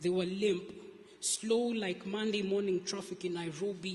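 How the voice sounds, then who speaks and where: Over noticeable background noise, a man speaks at a fairly slow pace in a high pitch, his intonation fairly even. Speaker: spoken word poet. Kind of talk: spoken word poetry performance. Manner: soft-spoken.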